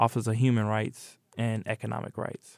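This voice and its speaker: Recorded very cleanly against a silent background, a man with a Midwestern US accent speaks at a moderate pace in a dry, close sound with no echo. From Indianapolis, Indiana (east side). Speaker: artist and educator, community organizer. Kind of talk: interview.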